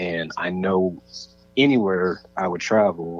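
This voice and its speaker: This man's very deep, low voice keeps a fairly even intonation. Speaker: visual artist and art teacher. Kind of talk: interview conversation. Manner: halting, many repeated words; monotone.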